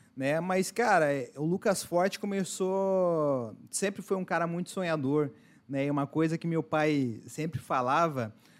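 A man with a normal speaking voice, fairly high in pitch, at a fairly slow pace with ordinary pitch variation. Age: 20s. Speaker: entrepreneur. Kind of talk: casual chat.

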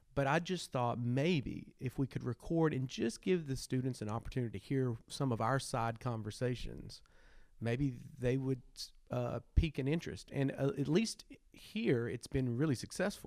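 Speaking with a Southern US accent, a man keeps a medium pitch with ordinary variation. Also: moderate pace. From Arkansas. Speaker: history teacher and podcast co-host. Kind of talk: casual chat.

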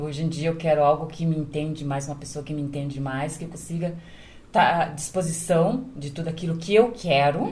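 Heard with audible room echo, a woman's very deep, low voice is somewhat breathy, has ordinary pitch variation, and swings widely in loudness. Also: fairly quick pace. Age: 50s. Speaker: domestic worker and caregiver. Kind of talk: casual chat.

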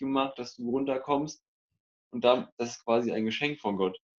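Speaking at a moderate pace, a man with medium pitch keeps his intonation fairly even. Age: 20s. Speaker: police cadet and church media volunteer. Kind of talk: casual chat.

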